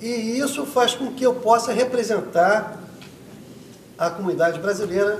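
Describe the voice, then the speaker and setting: A man's speech, moderate in pace and ordinary in pitch variation, comes with noticeable background noise and audible room echo. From Rio de Janeiro, Brazil. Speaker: political candidate. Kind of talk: debate answer.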